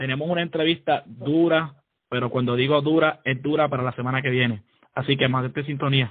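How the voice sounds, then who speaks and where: Speaking at a fairly quick pace, a man with a fairly high pitch and fairly even intonation has an unremarkable speaking voice. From Puerto Rico (San Juan). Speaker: podcast co-host, army sergeant. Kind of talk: casual chat.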